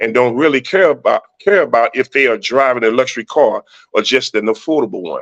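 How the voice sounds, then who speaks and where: Speaking at a fairly quick pace, a man uses a medium-pitched voice with lively intonation, recorded dry and close with no echo. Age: 60s. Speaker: motivational speaker and mentor. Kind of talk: motivational talk on a livestream. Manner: animated.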